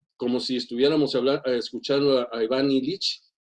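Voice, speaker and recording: A man talks at a moderate pace. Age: 60s. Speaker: teacher. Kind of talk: seminar comment. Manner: halting, many fillers and repetitions.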